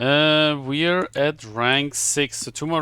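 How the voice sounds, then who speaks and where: A man with a German accent speaks at a fairly high pitch in a bright, sharp tone on a very clean recording with a silent background. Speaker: video game streamer. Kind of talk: live gameplay commentary. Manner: halting.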